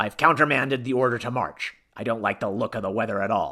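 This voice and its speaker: In a raspy, put-on character voice at a medium pitch, a man talks at a fairly quick pace. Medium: read story. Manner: curt, authoritative.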